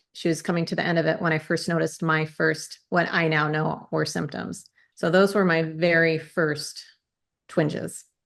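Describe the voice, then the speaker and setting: Over a quiet background, a woman speaks at a moderate pace in a very deep, low voice with vocal fry. Her intonation is monotone and flat. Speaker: Parkinson's advocate and person with Parkinson's. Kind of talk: interview. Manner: halting, words sometimes won't come out.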